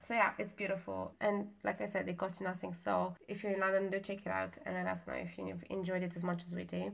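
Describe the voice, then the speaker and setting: Talking very fast, a woman has a non-native accent. She hardly pauses at all. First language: not English. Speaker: podcast co-host. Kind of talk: casual chat.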